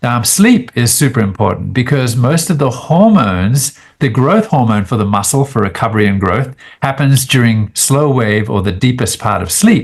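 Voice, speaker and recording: A somewhat breathy man with a slight Australian accent, medium pitch, lively intonation and a moderate pace. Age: 60s. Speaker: biochemist and immunologist. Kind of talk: podcast interview. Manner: casual, hesitant with fillers.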